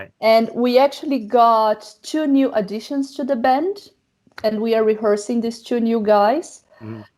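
With a Portuguese accent, a woman talks at a fairly slow pace and a fairly high pitch. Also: ordinary pitch variation. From Brazil. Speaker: metal singer and actress. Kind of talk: interview.

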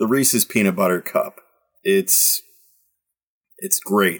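A man with a Midwestern US accent, at a moderate pace with ordinary pitch variation. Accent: US Midwest. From Michigan, Detroit. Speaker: soccer podcast host. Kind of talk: casual chat.

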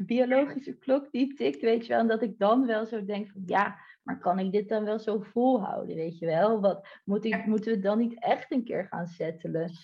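At a moderate pace, the speaker talks with lively intonation, a somewhat breathy sound, and hardly any pauses. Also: woman, fairly high pitch for a woman. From Netherlands, Delft. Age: 30s. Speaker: online entrepreneur. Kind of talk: podcast interview.

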